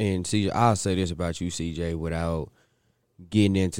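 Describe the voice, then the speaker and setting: The intonation is fairly even on a very clean recording with a silent background. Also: man. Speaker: football coach. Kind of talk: interview.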